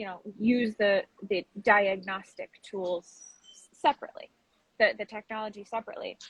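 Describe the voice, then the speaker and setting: A woman speaks in a somewhat breathy voice, fairly high in pitch with fairly even intonation. Her loudness swings widely, long pauses come often, and the sound is dry and close with no echo. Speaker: pet food writer and advocate. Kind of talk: interview. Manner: fast.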